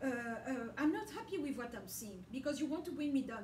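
A woman speaks in a high pitch with ordinary pitch variation. Light background noise and audible room echo are present. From DR Congo (Katanga). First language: French. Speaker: religious video blogger. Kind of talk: religious monologue. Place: home room. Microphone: camera far.

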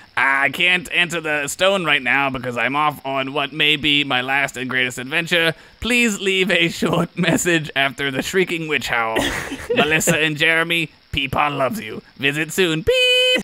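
Doing a cartoonish character voice, a man speaks at a moderate pace with a fairly high pitch and ordinary pitch variation. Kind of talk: comic overacting. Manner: grandiose, then wistful and sad.

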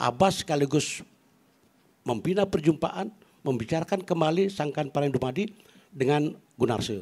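Against a quiet background, a man with a fairly high pitch speaks at a moderate pace, leaving long, frequent pauses. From Bali, Klungkung; Bali, Indonesia. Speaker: academic and poet; panelist. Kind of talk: panel talk. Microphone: handheld.

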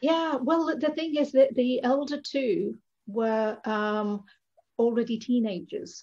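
Against a quiet background, a woman with a high pitch and a dark, mellow tone speaks at a very slow pace with lively intonation. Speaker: spiritual lifestyle coach. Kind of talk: interview conversation. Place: home room. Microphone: video call.

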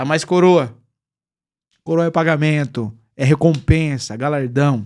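A man with a Brazilian accent speaks in an animated tone at a moderate pace, with ordinary pitch variation. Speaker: pastor and online preacher. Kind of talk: live-stream Q&A, reading viewer comments. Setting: live stream.

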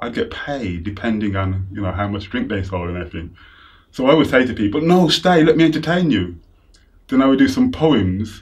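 A man speaks with very wide swings in pitch at a fairly quick pace. His voice is somewhat breathy over a quiet background. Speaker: interviewee. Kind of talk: interview answer. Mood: animated, amused storytelling. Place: home room. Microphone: lapel.

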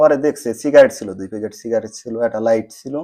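A man's dark, mellow tone at a medium pitch. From Bangladesh, Faridpur. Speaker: migrant telling his journey. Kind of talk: interview testimony.

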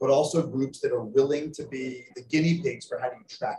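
With light background noise and audible room echo, a man with an American accent speaks at a fairly high pitch with fairly even intonation. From United States. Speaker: energy scientist, panelist; panelist. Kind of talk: panel remarks. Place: hall.

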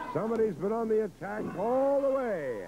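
Amid noticeable background noise, a man with a high pitch talks at a moderate pace with lively intonation. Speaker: wrestling commentator. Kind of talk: live wrestling commentary, play-by-play. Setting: archive broadcast of a match. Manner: vivid, clipped blow-by-blow calls.

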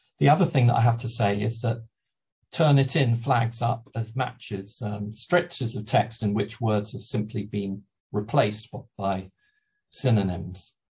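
A man with a medium-pitched, somewhat breathy voice speaks at a fairly slow pace, using ordinary pitch variation. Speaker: university EAP lecturer. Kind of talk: webinar lecture. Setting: video call. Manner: hesitant, many fillers.

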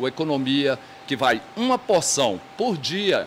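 Light background noise runs through the clip. A man does the talking. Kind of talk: interview answer. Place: shop. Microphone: handheld.

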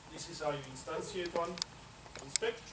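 A man at a moderate pace, over loud background noise. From Belgium. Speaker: university researcher; conference presenter. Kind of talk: conference talk. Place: hall.

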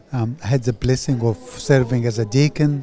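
A man speaks at a moderate pace with fairly even intonation. The sound is dry with no echo, and light background noise sits underneath. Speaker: parish priest. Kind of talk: interview answer. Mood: grateful, warm. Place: hall. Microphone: handheld.

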